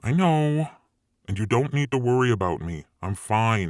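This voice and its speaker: A man puts on a character voice at medium pitch in a very clean recording with a silent background. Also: moderate pace. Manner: dry, exasperated.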